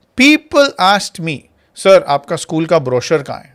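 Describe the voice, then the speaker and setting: This is a normal speaking voice moving at a fairly slow pace with lively intonation. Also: man. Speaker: school founder and marketing instructor. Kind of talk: online master class.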